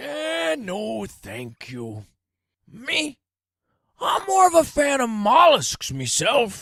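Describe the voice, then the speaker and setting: Using a put-on character voice, a man speaks at a high pitch and a very slow pace on a very clean recording with a silent background. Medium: read story. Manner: laconic, dry, unimpressed.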